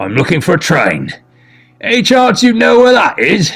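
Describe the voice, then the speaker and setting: With faint music in the background, a man in a put-on character voice speaks at a high pitch and a moderate pace. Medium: read story. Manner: brash, talkative.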